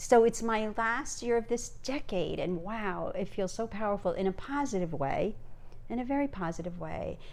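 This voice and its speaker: Her fairly high voice carries vocal fry and lively intonation as the woman talks at a moderate pace. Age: 60s. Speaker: grandmother podcast co-host. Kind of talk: casual chat. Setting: home video recording with Christmas tree.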